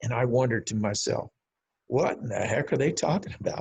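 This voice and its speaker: With ordinary pitch variation, the speaker sounds somewhat breathy. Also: man. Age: 70s. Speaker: amateur radio organization board candidate. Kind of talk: talk to a club over video call. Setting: video call. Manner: halting, with many fillers and repetitions.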